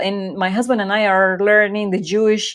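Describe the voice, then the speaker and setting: A fairly high-pitched woman with a Spanish accent, on a very clean recording with a silent background. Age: 40s. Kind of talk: Bible study talk. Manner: hesitant, many fillers.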